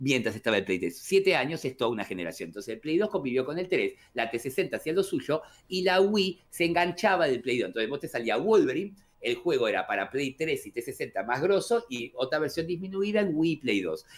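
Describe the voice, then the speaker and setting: A man talks with an Argentine accent. His pace is fairly quick. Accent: Argentine Spanish (rioplatense voseo). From Argentina. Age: 40s. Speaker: gaming youtuber. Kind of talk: casual chat.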